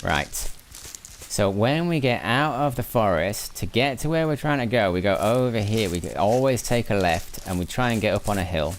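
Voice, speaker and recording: A man with a medium pitch speaks with lively intonation and very even loudness. Noticeable background noise is present. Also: moderate pace. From northern England, Lancashire. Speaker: gaming streamer. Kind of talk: live gameplay stream chat. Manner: relaxed, calm; repetitive, halting.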